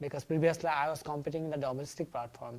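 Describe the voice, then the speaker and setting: A woman with a non-native accent speaks in a very deep, low pitch and fairly even intonation, recorded very cleanly over a silent background. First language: not English. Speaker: international student. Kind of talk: interview.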